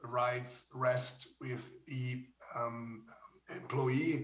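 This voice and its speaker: Against audible room echo, a man talks in a monotone, flat delivery at a medium pitch. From Switzerland. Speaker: judge. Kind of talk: conference talk. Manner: halting.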